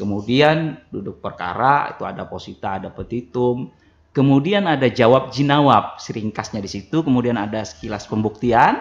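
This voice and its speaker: A medium-pitched man at a moderate pace with hardly any pauses, ordinary pitch variation and big swings in loudness. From South Kalimantan, Kintap; South Kalimantan, Indonesia. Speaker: religious court chief judge; radio guest. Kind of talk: radio talk show interview. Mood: earnest, appealing, promising. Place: studio. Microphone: studio mic.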